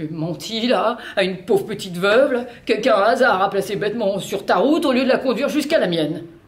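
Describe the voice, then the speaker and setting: The intonation here is lively. It belongs to a woman. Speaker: actor reading a play. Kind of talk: dramatic play reading, several character voices. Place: studio.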